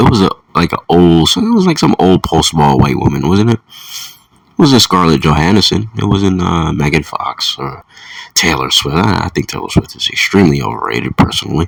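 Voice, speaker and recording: This man's voice sits extremely low and deep as he talks at a middling tempo. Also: lively intonation. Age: 30s. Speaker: solo video commentator. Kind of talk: casual monologue rant. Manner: halting, repeats words.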